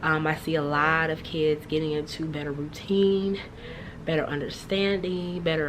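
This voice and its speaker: Very deep, low-pitched speech from a woman at a moderate pace, fairly even in intonation, with noticeable background noise and audible room echo. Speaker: third grade teacher. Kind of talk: casual vlog.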